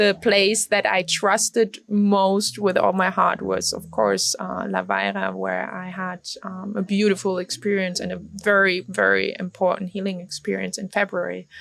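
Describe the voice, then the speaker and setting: Moderate-paced speech from a woman amid noticeable background noise. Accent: German. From Germany. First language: German. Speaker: retreat participant. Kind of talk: interview. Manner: halting.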